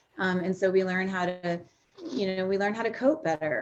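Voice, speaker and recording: With ordinary pitch variation, a woman talks at a medium pitch in a plain, everyday voice. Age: 50s. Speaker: recovering alcoholic sharing her story. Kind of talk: testimony.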